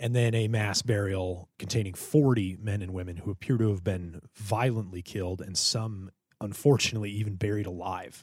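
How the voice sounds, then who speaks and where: Fairly low-pitched and somewhat breathy, a man speaks at a moderate pace with fairly even intonation and hardly any pauses on a very clean recording with a silent background. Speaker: podcast co-host. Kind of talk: casual banter.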